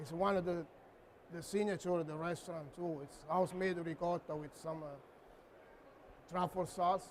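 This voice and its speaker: The delivery is monotone and flat at a moderate pace, in a Neapolitan accent. Loudness swings widely, and long pauses come often. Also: man, high pitch for a man. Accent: Neapolitan Italian. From Italy, Naples. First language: Italian. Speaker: chef. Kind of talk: cooking demo.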